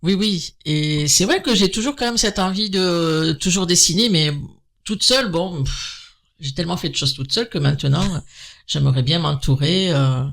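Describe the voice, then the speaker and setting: The very clean recording, with a silent background, carries speech at a moderate pace. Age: 60s. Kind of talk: interview. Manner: hesitant, many fillers.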